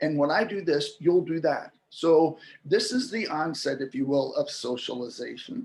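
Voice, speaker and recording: A man with an ordinary speaking voice talks fairly slowly and with hardly any pauses, his fairly high pitch carrying lively intonation. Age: 60s. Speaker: linguistics expert, interview guest. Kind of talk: interview explanation.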